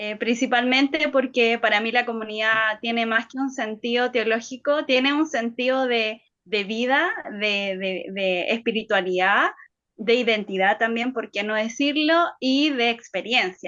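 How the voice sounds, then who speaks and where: Her voice sits fairly high for a woman, with ordinary pitch variation. She speaks at a fairly slow pace. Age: 30s. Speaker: lecturer. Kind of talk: lecture. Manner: halting.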